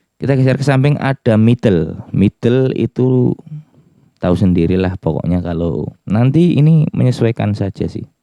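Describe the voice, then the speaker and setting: Lively intonation at a fairly slow pace, in a dry, close sound with no echo. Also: man. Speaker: music gear reviewer. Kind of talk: tutorial.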